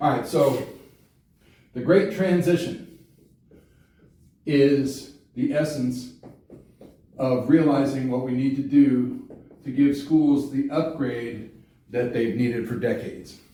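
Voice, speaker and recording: Somewhat breathy and dark, mellow in tone, a man with a fairly high voice and ordinary pitch variation speaks at a very slow pace with long, frequent pauses amid audible room echo. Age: 60s. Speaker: congressional candidate and teacher. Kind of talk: campaign explainer talk. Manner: casual, conversational with fillers.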